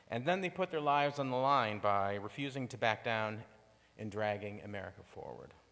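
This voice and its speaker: The voice belongs to a man. He talks at a moderate speed with a medium pitch. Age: 60s. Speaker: lay speaker at a congregation. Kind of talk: sermon.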